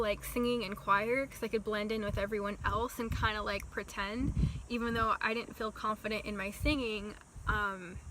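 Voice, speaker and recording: Noticeable background noise surrounds a woman speaking in a fairly high voice at a moderate pace. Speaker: vlogger. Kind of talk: storytime vlog.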